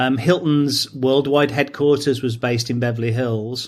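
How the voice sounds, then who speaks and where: Keeping a fairly even intonation, a man talks at medium pitch and a moderate pace. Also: very clean recording, silent background. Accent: English. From England, near Stratford-upon-Avon. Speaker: training company founder. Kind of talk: interview.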